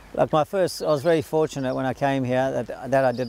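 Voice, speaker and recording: Noticeable noise sits in the background as a man talks. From South Africa. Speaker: jockey. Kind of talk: interview answer.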